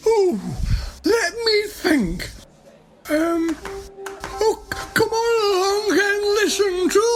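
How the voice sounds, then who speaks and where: In a put-on character voice, a woman speaks at an extremely high pitch and a very slow pace, with very even loudness and long, frequent pauses. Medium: audio drama. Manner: excitable, slightly flustered.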